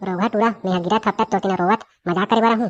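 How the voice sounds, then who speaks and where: A woman does a cartoonish character voice at a medium pitch and a very fast pace, with very even loudness. The background is quiet. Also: dry, close sound with no echo. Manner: bossy, scolding.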